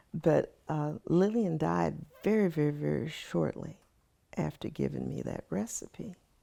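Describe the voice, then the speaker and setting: A woman talks in a Texan accent. Her pace is moderate. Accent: Texan American English. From Austin, Texas. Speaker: lawyer. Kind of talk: oral history interview answer.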